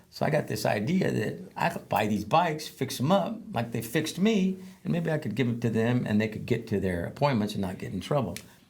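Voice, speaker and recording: Fairly quick, somewhat breathy speech from a medium-pitched man, with very wide pitch swings and hardly any pauses. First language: Spanish. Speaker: veteran advocate and former probation officer. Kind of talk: interview storytelling. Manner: halting, many fillers.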